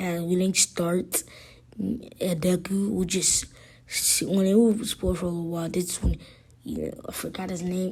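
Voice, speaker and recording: At a moderate pace, a woman speaks in a dark, mellow, somewhat breathy tone, her medium pitch following fairly even intonation. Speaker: fan fiction storyteller. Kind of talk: improvised fan story narration. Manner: halting, many fillers and restarts.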